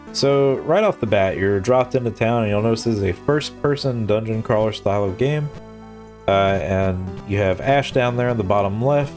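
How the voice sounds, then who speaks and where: A man's medium-pitched voice at a moderate pace, very even in loudness, with ordinary pitch variation and music in the background. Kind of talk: casual gaming commentary.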